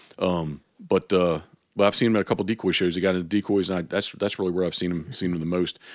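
Words come at a very fast pace in an American accent, with fairly even intonation. The recording is very clean, with a silent background. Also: man, very deep, low pitch for a man. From Maryland, Havre de Grace. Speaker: waterfowl hunting guide. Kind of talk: casual interview chat. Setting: home garage.

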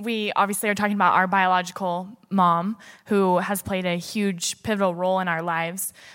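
In a plain, everyday voice, a woman of medium pitch speaks at a moderate pace. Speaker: church staff member and mother. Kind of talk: personal testimony at church service. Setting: church with congregation.

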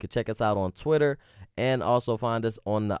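A normal speaking voice with ordinary pitch variation comes through with a dry, close sound and no echo. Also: man, very clean recording, silent background. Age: 20s. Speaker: sports podcast host. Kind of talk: casual chat; show outro. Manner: casual, conversational.

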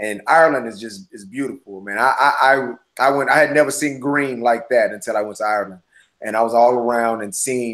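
The man has a plain, everyday voice at a medium pitch. He talks at a fairly quick pace with ordinary pitch variation. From US Midwest, St. Louis, Missouri. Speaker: filmmaker and actor. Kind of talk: interview.

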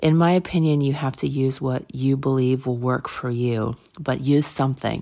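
A woman speaks with a very deep, low pitch and a dark, mellow tone, her intonation fairly even. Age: 40s. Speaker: podcast host and interior design blogger. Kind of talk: motivational solo talk. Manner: casual with frequent fillers.

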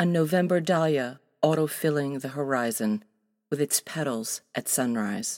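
On a very clean recording with a silent background, a woman talks at a fairly slow pace with lively intonation. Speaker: poet. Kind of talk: poetry reading.

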